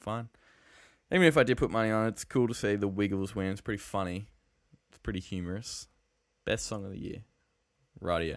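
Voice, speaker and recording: A man's fairly low voice in an Australian accent, fairly quick pace broken by long, frequent pauses, ordinary pitch variation, very clean recording with a silent background. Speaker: podcast host. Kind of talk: casual chat.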